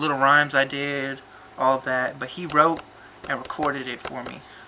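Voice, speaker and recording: Noticeable background noise sits behind a man speaking at a fairly quick pace. His pitch is fairly high. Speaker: amateur rapper. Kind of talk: casual vlog explanation. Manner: halting.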